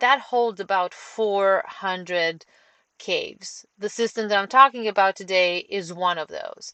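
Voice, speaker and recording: A woman with a Romanian accent, medium pitch, ordinary pitch variation and a bright, sharp tone, at a fairly slow pace, in a dry, close sound with no echo. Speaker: caver. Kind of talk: presentation talk. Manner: halting, many fillers.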